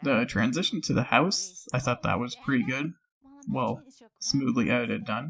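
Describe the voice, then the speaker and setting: A man speaks at a medium pitch with lively intonation and some vocal fry. His pace is moderate. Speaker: voice actor and channel host. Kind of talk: casual commentary. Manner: casual, rambling with fillers.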